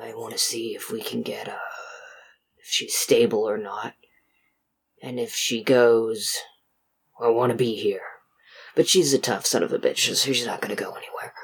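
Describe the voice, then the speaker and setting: A man uses a put-on character voice that sounds raspy, with big swings in loudness. He talks at a moderate pace, broken by long, frequent pauses. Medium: actual play.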